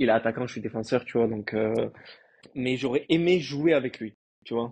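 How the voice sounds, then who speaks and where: Pitched in the medium range, the man's voice moves at a moderate pace and varies in pitch in an ordinary way. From France, Marseille. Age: 30s. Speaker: professional footballer. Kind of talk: casual interview. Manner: hesitant, many fillers.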